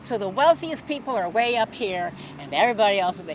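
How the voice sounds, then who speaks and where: Noticeable background noise sits behind a woman's voice. Her pitch is fairly high and swings very widely. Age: 70s. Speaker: protester. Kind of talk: heated debate. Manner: halting.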